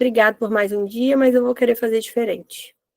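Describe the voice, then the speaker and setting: A woman talks at a moderate pace, her voice sounding dry and close with no echo. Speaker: holistic therapist leading Bible devotional. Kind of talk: devotional teaching. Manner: animated.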